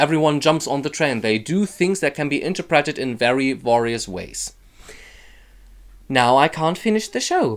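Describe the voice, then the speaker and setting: Speaking with a German accent at a moderate pace and with lively intonation, the voice sits on a very clean recording with a silent background. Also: man. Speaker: YouTuber. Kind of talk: casual vlog.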